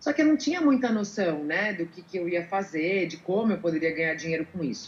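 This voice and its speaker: The speaker goes at a fairly quick pace. Background noise is noticeable. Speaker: voice-over artist and former sports presenter. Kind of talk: interview.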